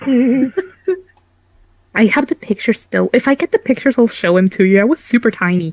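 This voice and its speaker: A squeaky woman with a fairly high pitch speaks in an animated tone at a fairly quick pace, with lively intonation, long, frequent pauses, very even loudness and a dry, close sound with no echo. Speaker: game master. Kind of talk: casual chat.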